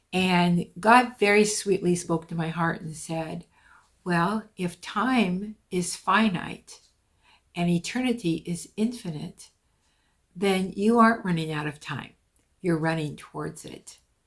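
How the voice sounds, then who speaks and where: At a very slow pace, a woman with a fairly low pitch and a somewhat breathy voice speaks with ordinary pitch variation and big swings in loudness. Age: 70s. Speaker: podcast host. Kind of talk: casual monologue. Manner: conversational, with fillers.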